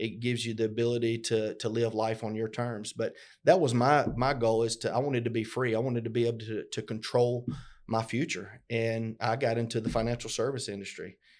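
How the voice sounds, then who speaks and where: A man with a Southern US accent, medium pitch, a fairly quick pace and monotone, flat intonation, on a very clean recording with a silent background. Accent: Southern US (Georgia). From US South (LaGrange, Georgia). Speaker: podcast co-host, business owner. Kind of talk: casual conversational podcast. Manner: halting, many fillers and repetitions.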